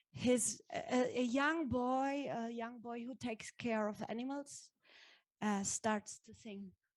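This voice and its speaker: A woman's high-pitched voice with a German accent, very slow, with ordinary pitch variation and big swings in loudness. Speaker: actress. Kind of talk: panel discussion. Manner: halting.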